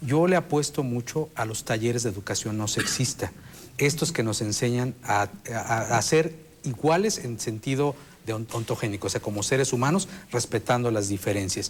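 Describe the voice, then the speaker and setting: An ordinary speaking voice from a man: medium pitch, ordinary pitch variation, moderate pace. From Mexico. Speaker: sexologist, expert panelist. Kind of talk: TV panel discussion.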